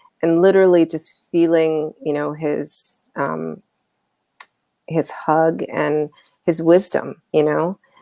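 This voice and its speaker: Very deep and low, a woman's dark, mellow voice moves at a very slow pace in a monotone, flat line with long, frequent pauses. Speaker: talk show host. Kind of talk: casual interview chat. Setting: live video stream.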